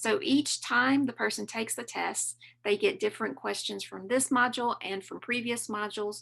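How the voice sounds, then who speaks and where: A moderate pace in a Southern US accent, with big swings in loudness over a quiet background. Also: woman. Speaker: learning designer presenting software training. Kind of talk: conference webinar tutorial.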